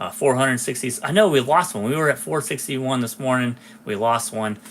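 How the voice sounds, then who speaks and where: With a plain, everyday voice, a man of medium pitch speaks at a fairly quick pace with lively intonation. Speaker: diecast collector YouTuber. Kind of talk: live stream solo talk. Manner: casual with many fillers.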